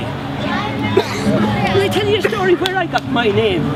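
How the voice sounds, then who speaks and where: Music plays in the background as a man with a Kerry accent speaks, with audible room echo. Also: very even loudness. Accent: Irish (Kerry). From southwest Ireland, County Kerry. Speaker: storyteller. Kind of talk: storytelling to live audience. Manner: animated.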